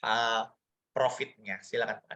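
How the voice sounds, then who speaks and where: A man with a bright, sharp tone. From Indonesia, Surabaya (East Java). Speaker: business opportunity presenter. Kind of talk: online sales presentation. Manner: animated.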